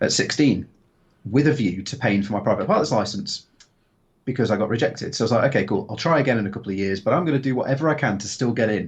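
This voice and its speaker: This man talks at a very fast pace with lively intonation. His voice is somewhat breathy. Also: medium pitch for a man. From Stoke-on-Trent, England (Potteries). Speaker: former military pilot, drone instructor. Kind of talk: interview. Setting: live video stream.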